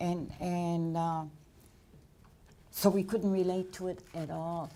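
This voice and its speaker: Very slow, monotone, flat speech in a dark, mellow tone with audible room echo. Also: woman, fairly low pitch for a woman. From Nova Scotia, Canada. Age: 70s. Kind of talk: lecture Q&A.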